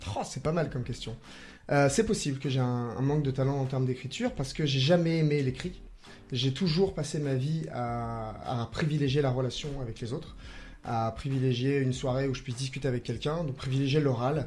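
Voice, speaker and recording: At a medium pitch and fairly quick pace, a man speaks somewhat breathily, with ordinary pitch variation. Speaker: improv comedian; primary school teacher. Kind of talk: radio interview answer.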